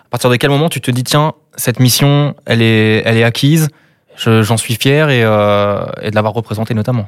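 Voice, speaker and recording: A man speaks at a moderate pace with medium pitch and ordinary pitch variation, in a normal speaking voice. The recording is very clean with a silent background. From Brittany. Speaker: podcast host. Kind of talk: interview.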